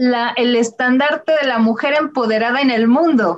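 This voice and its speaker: The woman speaks at a fairly slow pace in a high pitch. Her pitch varies in an ordinary way. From Mexico. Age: 40s. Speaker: illustrator. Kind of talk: presentation with slides.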